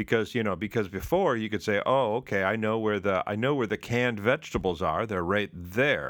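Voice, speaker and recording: At a fairly quick pace with hardly any pauses, a man talks at a fairly low pitch with ordinary pitch variation. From Detroit area, Michigan. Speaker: comedian. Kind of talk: casual chat. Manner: halting.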